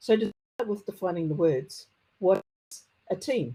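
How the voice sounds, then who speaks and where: A woman speaks with a strong New Zealand accent. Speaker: conference speaker, technology consultant. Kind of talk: conference talk. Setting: conference presentation. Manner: occasional stammering on hard consonants.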